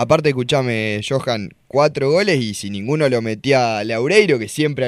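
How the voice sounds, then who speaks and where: A man has an unremarkable speaking voice with a medium pitch. He speaks at a moderate pace with ordinary pitch variation. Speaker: sports radio co-host. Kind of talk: sports radio talk show. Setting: studio.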